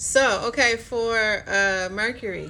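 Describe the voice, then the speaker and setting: Speaking at a very slow pace, a woman's bright, sharp tone shows ordinary pitch variation amid audible room echo. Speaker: astrology card reader. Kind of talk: live-streamed card reading. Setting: live stream. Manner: casual, filler-heavy.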